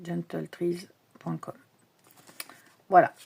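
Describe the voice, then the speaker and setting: Her voice is a woman's, fairly low in pitch with a dark, mellow tone. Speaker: tarot and oracle card youtuber. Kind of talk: casual unboxing show-and-tell. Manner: hesitant, many fillers.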